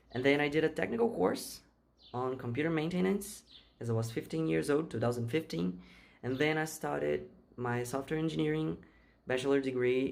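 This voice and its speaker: Speaking at a fairly quick pace, a man at medium pitch makes very wide pitch swings on a very clean recording with a silent background. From Brazil. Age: 20s. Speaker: software engineer. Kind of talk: interview answers. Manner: halting, repeats words.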